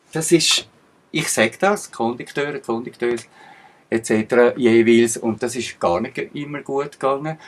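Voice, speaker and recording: Ordinary pitch variation marks this man's medium-pitched voice as he takes a fairly slow pace. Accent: Swiss. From Switzerland. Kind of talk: casual talk to camera.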